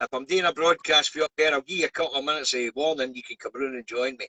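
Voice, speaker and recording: A man with a Scottish accent, a fairly high pitch, and a bright, sharp tone, very fast, with ordinary pitch variation and a dry, close sound with no echo. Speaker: truck driver and live streamer. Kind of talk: live stream news review. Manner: casual, chatty.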